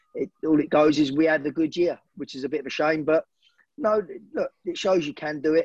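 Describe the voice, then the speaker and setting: A man with a southeast English accent speaks at a fairly quick pace and a fairly high pitch. His intonation stays fairly even, and the sound is dry and close with no echo. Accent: south-east English. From Hertfordshire, England (Hemel Hempstead). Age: 40s. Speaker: football manager and former player. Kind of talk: interview.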